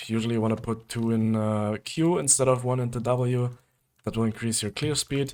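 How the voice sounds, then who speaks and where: Delivered at a fairly quick pace in a monotone, flat intonation, this voice comes through on a very clean recording with a silent background. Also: man. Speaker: gaming video creator. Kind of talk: tutorial. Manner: casual, filler-heavy; stuttering at times.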